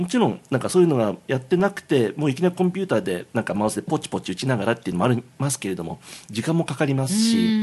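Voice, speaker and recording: Very fast and somewhat breathy, a man's fairly high voice with very wide pitch swings and hardly any pauses. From Tokyo, Japan. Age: 50s. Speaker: game music composer. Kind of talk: casual chat. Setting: Japanese restaurant.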